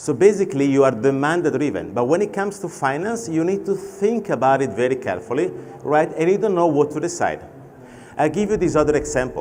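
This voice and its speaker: Spoken in an Italian accent at a fairly quick pace, the delivery has lively intonation. Room echo is audible. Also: man, fairly high pitch for a man. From Italy. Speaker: fintech expert and panel moderator. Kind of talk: conference keynote talk. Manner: conversational with anecdotes.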